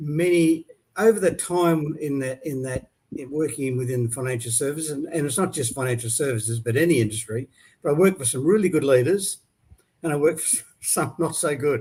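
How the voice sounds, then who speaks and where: A man with an Australian accent speaks at a fairly quick pace in a fairly high pitch for a man. His tone is dark and mellow, somewhat breathy, with ordinary pitch variation. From Australia, Brisbane. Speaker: leadership coach. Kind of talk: interview.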